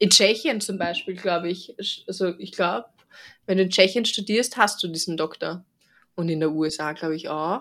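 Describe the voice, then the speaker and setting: Speaking at a moderate pace, a woman with a normal speaking voice holds a medium pitch with ordinary pitch variation. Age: 30s. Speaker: veterinarian, podcast host. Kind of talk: casual chat.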